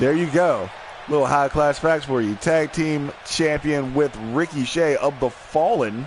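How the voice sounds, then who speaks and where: Amid noticeable background noise, a man with a fairly high pitch speaks at a fairly slow pace with ordinary pitch variation and very even loudness. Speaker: wrestling commentator. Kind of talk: live commentary.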